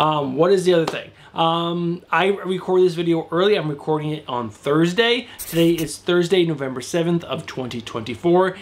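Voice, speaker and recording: With light background noise, the speaker keeps a moderate pace, hardly any pauses, and ordinary pitch variation. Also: man, high pitch for a man. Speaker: comic book YouTuber. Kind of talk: solo video commentary on comic releases. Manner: casual, chatty. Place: home room.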